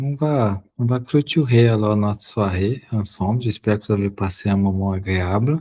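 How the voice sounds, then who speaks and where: A man's somewhat breathy voice with a dark, mellow tone and a Portuguese accent. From Brazil. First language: Portuguese (speaking French). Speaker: spiritist study group leader. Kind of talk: online study group discussion.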